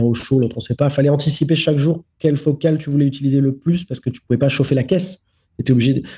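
Very fast and somewhat breathy, a man speaks with a dark, mellow tone at a fairly high pitch and fairly even intonation. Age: 30s. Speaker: film director. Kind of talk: interview.

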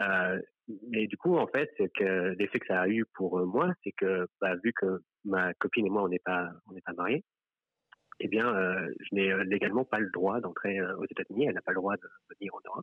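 With a normal speaking voice, a man talks at a moderate pace and a fairly low pitch. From France. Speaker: member of the public telling his story. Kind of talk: personal testimony in a live stream conversation.

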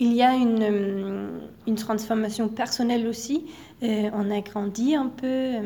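Pitched fairly high, a woman talks at a very slow pace with fairly even intonation. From Denmark. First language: Danish (speaking French). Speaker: exchange student. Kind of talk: interview. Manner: halting.

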